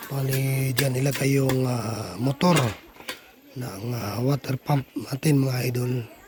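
The speaker talks at a very slow pace with fairly even intonation over noticeable background noise. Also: man, medium pitch for a man. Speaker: vlogger. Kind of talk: casual vlog narration.

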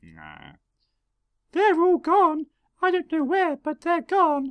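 A squeaky, put-on character voice, extremely high in pitch, at a very slow pace. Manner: frantic, urgent.

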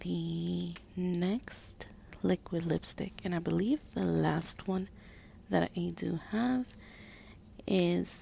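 Soft-spoken and gentle in tone, a woman talks at a very slow pace with long, frequent pauses. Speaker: stay-at-home mom and beauty ASMR creator. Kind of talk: ASMR makeup collection video, casual talk to camera. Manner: soft-spoken, gentle.

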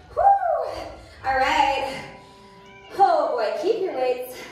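A woman speaks at a very slow pace in a room with strong echo. Faint music plays in the background. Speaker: fitness instructor. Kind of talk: workout class cueing. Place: gym.

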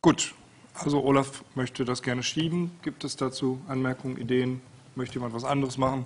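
Intonation is monotone and flat. Delivery moves fairly quickly. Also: man. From Rhineland, Germany (Hürth); Rhineland, Germany. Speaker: meeting chair. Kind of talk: meeting moderation. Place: meeting room. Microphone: podium.

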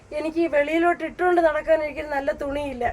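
Over noticeable background noise, a woman speaks in a high-pitched, flat monotone. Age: 50s. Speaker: widow living alone. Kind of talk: emotional testimony. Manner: distressed, pleading.

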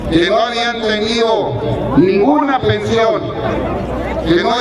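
A man talks at a very slow pace with ordinary pitch variation. Loud background noise and audible room echo fill the recording. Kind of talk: public speech. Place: stadium.

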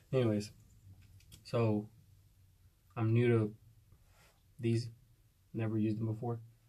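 Quiet and somewhat breathy, a man speaks in a dark, mellow tone with monotone, flat intonation and long, frequent pauses. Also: moderate pace. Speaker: hunting vlogger. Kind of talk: casual vlog. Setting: outdoors. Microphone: phone near.

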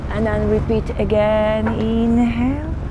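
A woman speaks at a slow pace with fairly high pitch and fairly even intonation over loud background noise.

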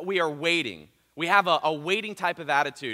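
A man's raised, projected voice with an American accent, a bright, sharp tone and a moderate pace, over a quiet background. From US Midwest (southern Ohio). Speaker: pastor; preacher. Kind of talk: sermon. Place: church. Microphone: headset.

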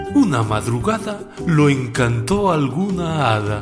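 With music in the background, a man of fairly high pitch speaks with very wide pitch swings. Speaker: storyteller and radio announcer. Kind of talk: children's poetry reading.

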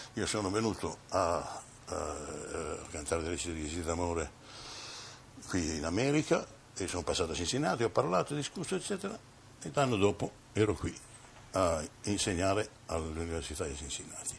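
Amid light background noise, a man with a very deep, low voice speaks somewhat breathily at a fairly quick pace, his intonation lively and broken by long, frequent pauses. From Italy. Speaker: opera bass singer and teacher. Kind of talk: interview answer. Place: home room. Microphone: old recording.

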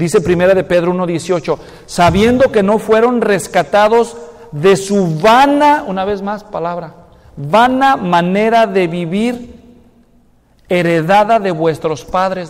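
A man speaks in a high voice with a Mexican accent. He goes at a fairly slow pace with ordinary pitch variation. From Mexico, Guadalajara; Jalisco, Mexico. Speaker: pastor. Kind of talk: sermon. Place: church.

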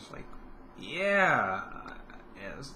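A man talks at a moderate pace in a bright, sharp tone over light background noise. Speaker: vlogger. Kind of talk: casual vlog chat. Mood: relaxed, upbeat. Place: home room. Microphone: webcam.

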